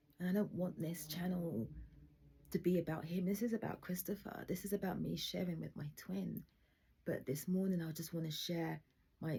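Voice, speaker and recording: A woman talks at a fairly quick pace with a fairly low pitch. Her tone is dark and mellow, with vocal fry. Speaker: video diarist sharing personal trauma. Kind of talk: personal testimony monologue. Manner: halting.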